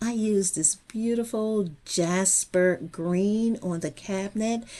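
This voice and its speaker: A dark, mellow voice at a very slow pace with ordinary pitch variation, over a quiet background. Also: woman. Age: 60s. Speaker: DIY lifestyle vlogger. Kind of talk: home makeover tour narration.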